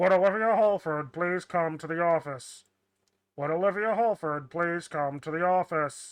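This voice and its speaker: Someone does a put-on character voice at a moderate pace and a middle pitch. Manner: monotone.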